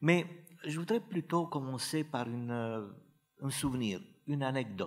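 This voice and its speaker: Speaking with a Romanian accent, a man goes at a fairly slow pace with very wide pitch swings. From northern Romania. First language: Romanian (speaking French). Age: 60s. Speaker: playwright. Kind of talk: conference talk. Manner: hesitant, many fillers.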